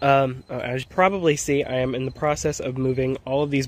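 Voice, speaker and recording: This man keeps to a moderate tempo. There is no echo, leaving the sound dry. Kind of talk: casual vlog chat. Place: garden. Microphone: phone near.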